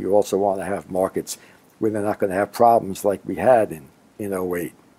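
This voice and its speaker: A man's fairly low voice, dark and mellow in tone, with a Brooklyn accent. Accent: New York (Brooklyn). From Brooklyn, New York. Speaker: finance executive. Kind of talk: interview answer. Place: office.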